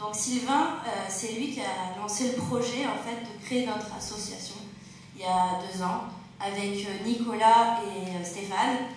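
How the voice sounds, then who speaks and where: A woman with a fairly high pitch and ordinary pitch variation talks at a very slow pace, with audible room echo and noticeable background noise. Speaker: charity founder. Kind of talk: stage speech. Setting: stage with audience.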